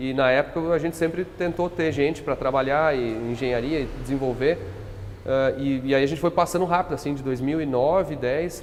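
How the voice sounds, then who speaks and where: Noticeable background noise behind a man's fairly high voice, with fairly even intonation at a moderate pace. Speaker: company founder. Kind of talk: podcast interview. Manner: hesitant, many fillers.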